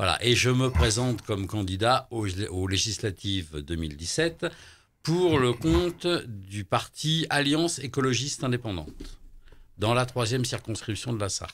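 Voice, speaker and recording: A man with a medium-pitched voice speaks at a fairly slow pace, his pitch swinging very widely. The recording is very clean, with a silent background. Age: 60s. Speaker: political candidate, shaman healer. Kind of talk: radio interview. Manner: hesitant, many fillers.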